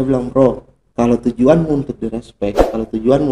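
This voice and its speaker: In an ordinary speaking voice, a man moves along at a fairly quick pace. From Indonesia, Kolaka (Southeast Sulawesi). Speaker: photojournalist. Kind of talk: casual chat.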